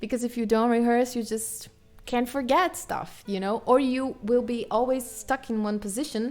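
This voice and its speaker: Woman with a strong Brazilian accent, fairly high pitch and moderate pace. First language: Portuguese. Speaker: guitarist and livestreamer. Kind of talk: casual live stream chat. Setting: live stream.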